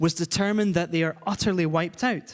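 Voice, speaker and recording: Speaking fairly quickly with a Scottish accent, a man uses a high pitch. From Scotland. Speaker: charity director and guest preacher. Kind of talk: church sermon.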